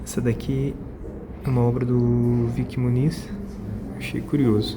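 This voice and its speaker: A soft-spoken man talks at a fairly slow pace. Audible room echo and noticeable background noise surround his voice. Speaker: vlogger. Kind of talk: casual vlog narration. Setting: art exhibition, indoors.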